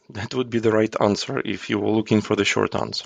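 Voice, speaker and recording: A man with a Ukrainian accent is heard in a dry, close sound with no echo. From Ukraine. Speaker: agile coach. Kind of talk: podcast interview answer.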